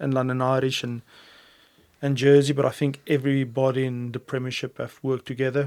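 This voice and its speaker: The delivery comes at a fairly quick pace in a South African accent. The intonation stays monotone and flat. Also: man. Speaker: rugby head coach. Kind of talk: interview answer. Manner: calm, composed.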